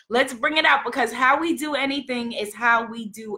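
Loud and animated, a woman with a New York accent speaks at a high pitch in a bright, sharp tone. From New York City. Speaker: spiritual love coach and livestream host. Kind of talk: inspirational livestream talk. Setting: live video stream.

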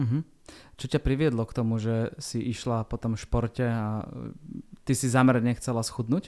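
Here a man speaks at a moderate pace and medium pitch. His tone is dark and mellow, his intonation fairly even. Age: 40s. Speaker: podcast host. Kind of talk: casual interview.

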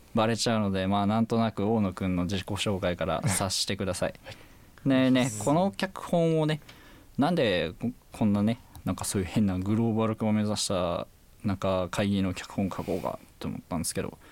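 This man talks at a fairly quick pace in a normal speaking voice, his fairly low pitch moving with ordinary variation. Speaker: university student scriptwriter. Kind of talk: casual chat.

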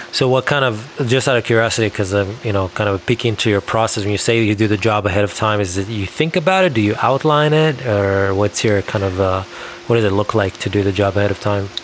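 Over noticeable background noise, a man talks very fast with hardly any pauses, his pitch fairly low with ordinary variation and his loudness very even. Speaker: podcast host. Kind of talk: interview conversation.

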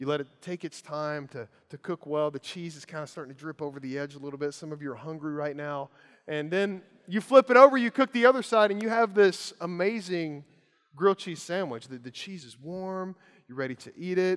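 A man with a Kentucky accent talks at a fairly quick pace in a fairly high pitch, with lively intonation and big swings in loudness. The sound is dry and close, with no echo. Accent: Kentucky (US South). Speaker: preacher. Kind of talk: sermon.

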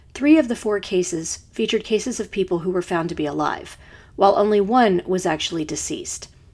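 On a very clean recording with a silent background, a woman with a normal speaking voice talks at a fairly quick pace and medium pitch. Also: lively intonation. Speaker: true crime podcast host. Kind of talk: true-crime narration, scripted and read with a serious, measured tone. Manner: measured, sombre, formal; clear, steady, informative.

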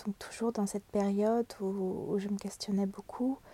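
A woman's somewhat breathy, dark and mellow voice sits fairly high in pitch, moving at a fairly slow pace with fairly even intonation in a dry, close sound with no echo. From Brittany, France. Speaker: art therapist and illustrator. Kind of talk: interview. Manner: hesitant, many repetitions and fillers.

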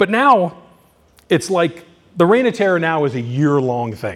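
At a moderate pace, the speaker uses an American accent with very wide pitch swings. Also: man. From Southern California. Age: 50s. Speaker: haunted house owner. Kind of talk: conference presentation. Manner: halting.

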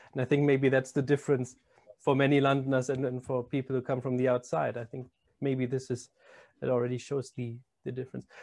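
With a German accent, the speaker rushes along at a very fast pace in a monotone, flat delivery. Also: man, medium pitch for a man. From Germany. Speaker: podcast host. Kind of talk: casual chat.

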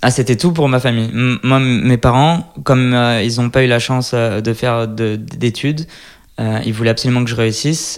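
A man with a medium pitch speaks at a moderate pace, keeping his intonation fairly even. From France, Lyon. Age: 30s. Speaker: fashion designer. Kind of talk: interview. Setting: designer's workshop. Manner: hesitant, many fillers.

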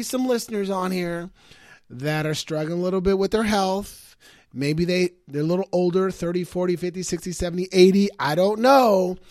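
A man speaks with a high pitch. The recording is very clean, with a silent background. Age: 50s. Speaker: motivational podcast host. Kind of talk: motivational monologue.

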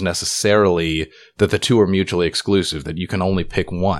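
At a moderate pace and a fairly low pitch, a man with an unremarkable speaking voice talks, his pitch varying in an ordinary way. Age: young. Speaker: podcast co-host. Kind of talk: casual interview.

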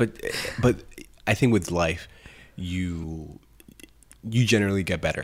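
A man talks with a very deep, low pitch and ordinary pitch variation. His fairly slow pace includes long, frequent pauses. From Colombia. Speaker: podcast co-host. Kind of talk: casual chat.

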